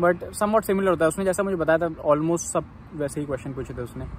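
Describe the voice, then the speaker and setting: A man's high voice at a fairly quick pace with ordinary pitch variation, dry with no echo, over light background noise. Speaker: international student vlogger. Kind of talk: casual vlog chat. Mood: relaxed, slightly sheepish. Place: street. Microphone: phone near.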